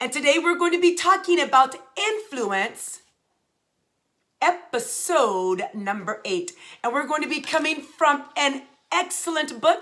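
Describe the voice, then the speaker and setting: A loud, animated woman's voice, high-pitched, bright and sharp, with very wide pitch swings and long, frequent pauses. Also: fairly slow pace. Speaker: leadership speaker. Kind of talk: motivational talk.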